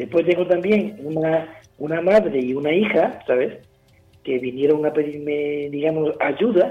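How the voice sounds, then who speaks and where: Music plays behind a man talking at a fairly slow pace. His pitch is fairly high, with ordinary variation. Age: old. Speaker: retired martial arts teacher. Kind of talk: radio interview. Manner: halting, repeats words.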